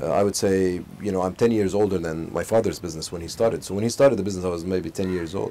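Over light background noise, a man with a very deep, low pitch and a dark, mellow tone talks at a very fast pace with fairly even intonation. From Saudi Arabia, Al Khobar; Saudi Arabia. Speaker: business executive. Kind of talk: interview. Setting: outdoors in a home garden. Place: garden. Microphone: lapel.

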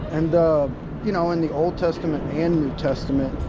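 The man's intonation stays fairly even while noticeable background noise plays behind him. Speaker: street preacher. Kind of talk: street conversation, preaching argument. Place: street. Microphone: phone near.

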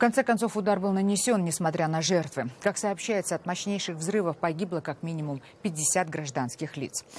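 Against light background noise, a woman with a fairly low voice comes through in a dry sound with no echo. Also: lively intonation, moderate pace. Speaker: news anchor. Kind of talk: news reading. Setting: studio. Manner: formal. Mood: serious, measured. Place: studio. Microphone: lapel.

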